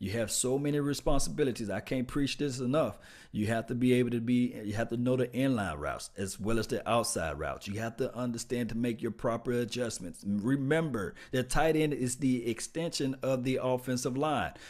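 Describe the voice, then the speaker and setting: With a Mississippi accent, this voice moves at a fairly quick pace with hardly any pauses and ordinary pitch variation, on a very clean recording with a silent background. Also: man, medium pitch for a man. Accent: Mississippi Southern US. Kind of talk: casual livestream sports talk. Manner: casual, chatty, animated.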